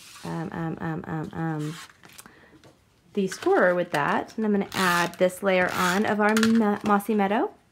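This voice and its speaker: Over noticeable background noise, a soft-spoken woman talks at a fairly slow pace. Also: medium pitch for a woman, fairly even intonation. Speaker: card-making crafter. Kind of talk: tutorial. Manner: soft-spoken today; talking softly.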